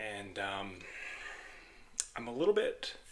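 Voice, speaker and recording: A man at a very slow pace. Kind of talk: ASMR energy healing ramble. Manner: monotone, steady.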